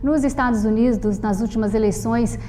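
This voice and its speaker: There is noticeable background noise and audible room echo. A woman speaks with fairly high pitch and fairly even intonation. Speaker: TV interviewer. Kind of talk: TV interview.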